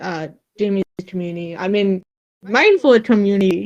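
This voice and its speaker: A woman with a slight Vietnamese accent, medium-pitched, at a fairly slow pace, in a dry, close sound with no echo. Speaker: streamer. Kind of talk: casual chat. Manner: halting.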